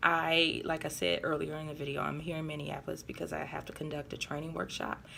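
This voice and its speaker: A woman with vocal fry and a very deep, low pitch speaks at a very fast pace, with ordinary pitch variation. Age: adult. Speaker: vlogger and corporate trainer. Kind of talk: casual vlog. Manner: hesitant, many fillers.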